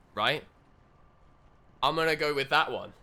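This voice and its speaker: A man with a British accent, a bright, sharp tone and a fairly quick pace. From Britain. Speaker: video game streamer. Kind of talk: live gameplay commentary. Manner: casual, chatty.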